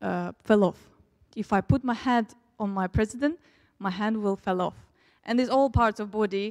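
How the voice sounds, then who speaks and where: A woman with a Russian accent speaks at a moderate pace with a fairly high pitch and fairly even intonation, in a very clean recording with a silent background. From Turkmenistan, Russian-speaking family. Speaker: preacher. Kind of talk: sermon. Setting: church.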